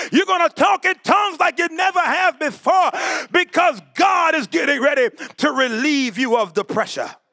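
Shouting at a moderate pace, a man speaks in an extremely high pitch with an animated tone, lively intonation and very even loudness, the sound dry and close with no echo. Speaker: preacher. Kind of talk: sermon. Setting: church. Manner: animated, preaching in full flow, call-and-response with congregation; loud, exhorting.

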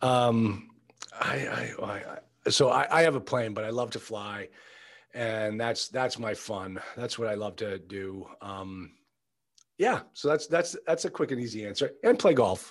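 A man with an American accent talks at a fairly slow pace in a normal speaking voice, medium in pitch with ordinary pitch variation. The recording is very clean, with a silent background. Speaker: attorney and multifamily investor mentor. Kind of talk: casual interview chat.

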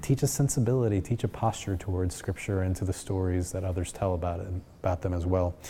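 A man's very deep, low voice, dark, mellow and somewhat breathy, at a fairly quick pace. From Puerto Rico. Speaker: seminary professor. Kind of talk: interview.

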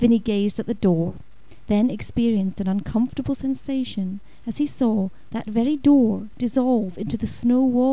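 The clip features plain reading aloud, its pitch varying in an ordinary way.

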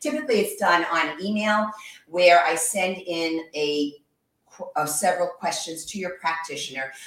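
There is audible room echo as a woman with an American accent speaks at a fairly low pitch. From New York. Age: 60s. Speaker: yoga instructor and massage therapist. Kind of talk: guided exercise instruction.

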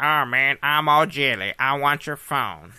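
A whiny, nasal put-on character voice at a fairly slow pace, over a quiet background. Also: man, fairly high pitch for a man. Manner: whiny, envious.

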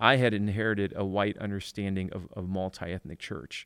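In an American accent, a man speaks at a moderate pace with an ordinary speaking voice of fairly low pitch, captured as a dry, close sound with no echo on a very clean recording with a silent background. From Detroit inner city, US. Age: 40s. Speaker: church planting director and author. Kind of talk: casual interview chat.

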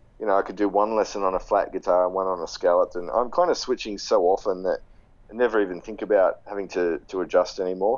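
This man talks at a very fast pace with an Australian accent. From Sydney, Australia. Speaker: guitarist and guitar teacher. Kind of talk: casual interview.

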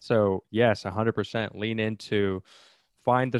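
A plain, everyday voice comes from a man at a fairly low pitch with fairly even intonation and a fairly slow pace. The recording is very clean, with a silent background and a dry, close sound with no echo. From outside the US. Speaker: podcast host. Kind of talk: casual interview.

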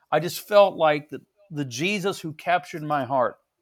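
Using lively intonation, a man with a Midwestern American accent talks at a moderate pace. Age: 60s. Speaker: pastor. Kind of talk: casual interview.

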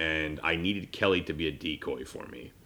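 A man speaks loudly. His intonation is fairly even. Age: 30s. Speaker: podcast host. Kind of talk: casual chat.

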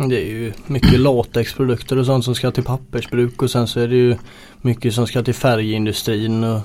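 A man speaks at a medium pitch with a dark, mellow tone. His pace is moderate and his intonation is monotone and flat. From Gothenburg northern archipelago, Sweden. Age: 20s. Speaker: truck driver. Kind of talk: casual interview.

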